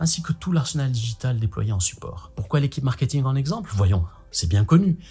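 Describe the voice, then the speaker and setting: A man talks at a medium pitch with very wide pitch swings. Music plays in the background. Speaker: marketing video blogger. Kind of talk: vlog-style talk to camera. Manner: fast; animated.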